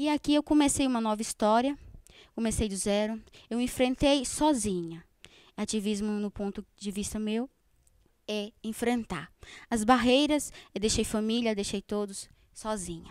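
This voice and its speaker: A woman speaks at a fairly high pitch with ordinary pitch variation. Her pace is fairly slow, with long, frequent pauses. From Northeast Brazil (Paraíba). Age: 20s. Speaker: student, panel participant. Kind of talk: panel discussion statement. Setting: live-streamed panel in cultural space.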